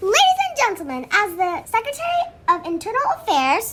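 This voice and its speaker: A squeaky, put-on character voice at extremely high pitch and a fairly quick pace. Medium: audio drama.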